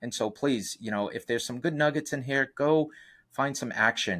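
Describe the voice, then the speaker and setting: A man with a Boston accent on a very clean recording with a silent background. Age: 50s. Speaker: real estate investor and coach. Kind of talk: interview. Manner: halting, many fillers.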